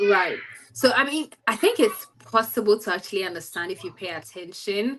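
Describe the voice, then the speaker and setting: Speaking with a Ghanaian accent, a woman uses a medium pitch and lively intonation at a moderate pace. Her loudness swings widely. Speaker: study-abroad student. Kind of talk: interview.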